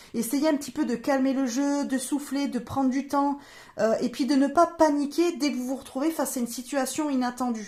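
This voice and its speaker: A woman's voice is high in pitch. It shows ordinary pitch variation. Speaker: tarot reader and medium. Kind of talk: astrology reading / guidance monologue. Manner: fast; hesitant, many fillers.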